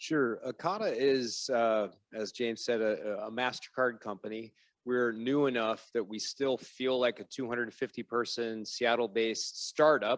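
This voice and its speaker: A man with a normal speaking voice and an American accent, fairly even intonation and a moderate pace, on a very clean recording with a silent background. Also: medium pitch for a man, dry, close sound with no echo. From United States. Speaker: fintech executive on a panel. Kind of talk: panel discussion.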